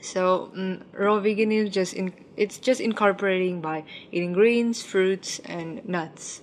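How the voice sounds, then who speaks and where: Against noticeable background noise, a woman with a medium-pitched voice speaks at a fairly slow pace with fairly even intonation. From Ukraine, Vietnamese parents. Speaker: plant-based food entrepreneur. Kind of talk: interview.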